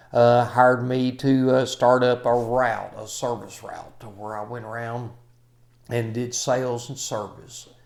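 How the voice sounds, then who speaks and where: With an American accent, a man speaks at a medium pitch in a flat, monotone way, his loudness swinging widely amid audible room echo. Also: fairly slow pace. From Kentucky. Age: 60s. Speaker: maintenance trainer. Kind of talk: self-introduction talk. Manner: halting, many fillers.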